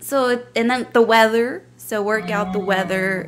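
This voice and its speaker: A woman, with light background noise. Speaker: podcast co-host. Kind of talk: casual bilingual podcast chat. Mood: cheerful, laughing. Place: home room. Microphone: studio mic.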